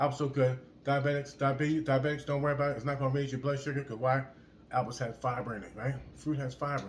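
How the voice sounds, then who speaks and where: A man speaks at a very fast pace in a somewhat breathy, fairly high voice. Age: 60s. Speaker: fitness vlogger. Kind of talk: motivational casual talk to camera. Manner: repetitive, halting with word repeats; animated.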